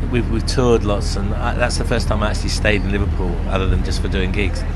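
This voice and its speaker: Loud background noise accompanies a man as he speaks. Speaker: rock singer and musician. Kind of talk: casual backstage interview. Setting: backstage at outdoor music festival. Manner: halting, many fillers. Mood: relaxed, reflective. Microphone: handheld.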